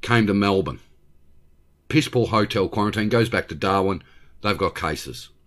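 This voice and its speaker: Speaking at a moderate pace with long, frequent pauses, the voice has an Australian accent, vocal fry and ordinary pitch variation, recorded very cleanly against a silent background. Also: man, fairly low pitch for a man. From regional Victoria, Australia. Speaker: YouTube channel host. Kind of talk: angry political rant about state government. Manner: exasperated, profane outbursts; blunt, indignant and scornful.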